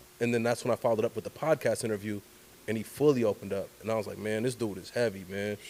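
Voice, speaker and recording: Very fast in pace, a man speaks at medium pitch with an American accent. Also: fairly even intonation. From Oakland, California (East Oakland). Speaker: journalist and storyteller. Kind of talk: casual interview conversation.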